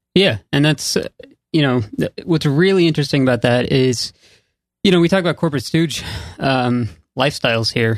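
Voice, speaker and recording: At a moderate pace, a man speaks in an ordinary speaking voice with medium pitch and ordinary pitch variation, recorded dry and close with no echo. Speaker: guest, author and startup employee. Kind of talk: casual chat. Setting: studio.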